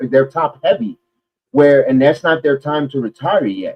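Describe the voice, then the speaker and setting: In a New York accent, a man with a fairly high pitch speaks at a moderate pace in an animated tone. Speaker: wrestling podcast host. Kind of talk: casual chat.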